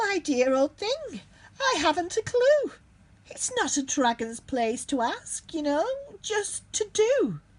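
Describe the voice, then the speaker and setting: Using a put-on character voice, a woman talks at an extremely high pitch and a fairly slow pace, with very wide pitch swings. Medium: read story. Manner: genteel, affable.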